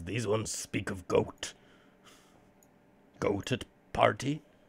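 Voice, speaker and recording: Putting on a character voice, a man speaks fairly slowly in a raspy, medium-pitched voice. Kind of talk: broken, simple speech.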